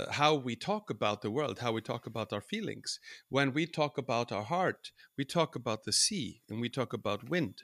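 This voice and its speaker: A man with an Icelandic accent speaks at a moderate pace and medium pitch with lively intonation, in a dry, close sound with no echo on a very clean recording with a silent background. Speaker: folk musician. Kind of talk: interview.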